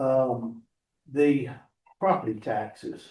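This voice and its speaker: Dark, mellow tones from a somewhat breathy male voice. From Georgia, USA. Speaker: political candidate. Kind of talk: campaign speech to local meeting.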